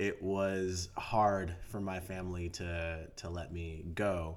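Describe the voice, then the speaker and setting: A man with an American accent talks at a very slow pace in a very deep, low voice, with monotone, flat intonation and hardly any pauses. Audible room echo surrounds the recording. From US West Coast, San Diego. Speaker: actor. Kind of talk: casual chat. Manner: halting.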